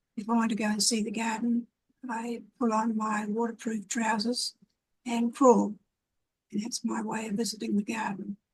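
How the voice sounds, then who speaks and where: A woman's fairly high, somewhat breathy voice in a flat monotone at a moderate pace. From New Zealand, Wairarapa (moved from Wellington at eight). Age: 80s+. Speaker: community activist and gardener. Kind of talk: casual interview. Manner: hesitant, with fillers.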